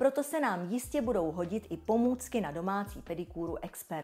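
Talking fairly quickly, a woman sounds upbeat with a dark, mellow tone and lively intonation. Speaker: brand presenter. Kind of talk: infomercial. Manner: polished, upbeat sales-presenter delivery; smooth, enthusiastic, flowery, sensual product-praising tone.

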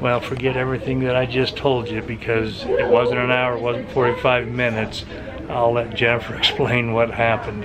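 Against loud background noise, a man speaks at a moderate pace in a monotone, flat intonation. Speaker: lifestyle vlogger. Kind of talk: casual vlog. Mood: calm, hopeful waiting.

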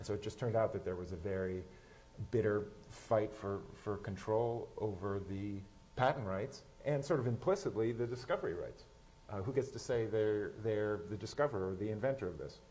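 A man talks at a fairly quick pace and a fairly low pitch, with ordinary pitch variation. His voice is somewhat breathy, with a dark, mellow tone. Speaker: science journalist. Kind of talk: panel discussion. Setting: stage with audience. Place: stage. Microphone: lapel.

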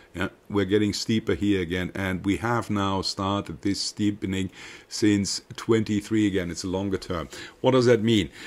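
This man has a German accent and a fairly low pitch. His intonation is fairly even and his pace moderate. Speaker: market commentator. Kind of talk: market analysis monologue with slides. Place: home room. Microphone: webcam.

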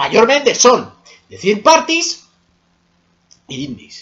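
A man's voice at a fairly slow pace, marked by very wide pitch swings. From Spain. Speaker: gaming YouTuber; gaming vlogger. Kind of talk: personal opinion monologue. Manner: casual, heated. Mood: annoyed, ranting. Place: home room. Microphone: webcam.

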